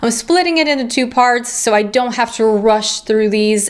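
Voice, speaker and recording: A woman speaks with lively intonation at a fairly high pitch. Noticeable background noise is present. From Ukraine, Kiev. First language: Russian. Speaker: YouTuber, book and film reviewer. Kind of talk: Q&A vlog.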